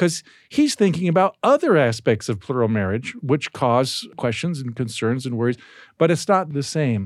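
A man with an American accent talks at a moderate pace in a normal speaking voice, medium in pitch, with lively intonation. The recording is very clean with a silent background and a dry, close sound with no echo. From US, Baltimore, Maryland. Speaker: historian. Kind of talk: casual chat. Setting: studio.

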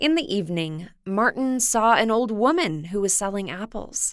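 A woman's unremarkable speaking voice, medium in pitch, with lively intonation at a moderate pace, on a very clean recording with a silent background. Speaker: radio host. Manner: gentle, warm, storyteller's pace.

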